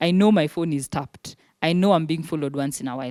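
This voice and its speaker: A woman talks at a fairly quick pace with a fairly low pitch and a dark, mellow tone. The sound is dry and close, with no echo. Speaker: human rights lawyer and activist. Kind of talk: panel talk to students. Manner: fast.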